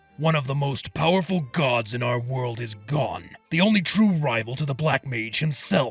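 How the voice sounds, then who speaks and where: Over faint background music, a put-on character voice speaks at a moderate pace. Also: man, medium pitch for a man. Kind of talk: audiobook fan fiction reading. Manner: scornful.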